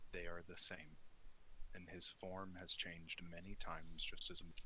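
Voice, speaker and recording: A man uses a put-on character voice pitched very deep and low. Clear background noise is audible. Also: moderate pace. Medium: actual play. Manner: curt, cold.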